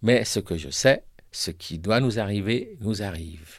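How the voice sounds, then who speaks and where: With an unremarkable speaking voice, a man talks at a fairly slow pace and a fairly low pitch, his intonation lively, on a very clean recording with a silent background. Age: 60s. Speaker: breast cancer survivor and poet. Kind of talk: scripted narration.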